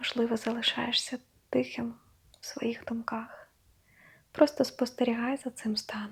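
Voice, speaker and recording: A woman's fairly high, flat, monotone voice at a fairly slow pace with long, frequent pauses. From Ukraine. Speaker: meditation guide. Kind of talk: guided meditation. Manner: slow, soft-spoken.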